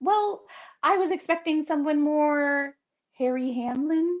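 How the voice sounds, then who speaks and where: A woman does a put-on character voice, squeaky and high-pitched. She goes at a fairly slow pace with ordinary pitch variation. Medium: stage play. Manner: dry, deadpan, teasing.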